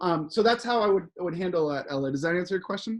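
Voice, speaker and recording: A man is speaking. His intonation is lively. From US. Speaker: motivational speaker. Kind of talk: Q&A answer in online retreat. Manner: animated.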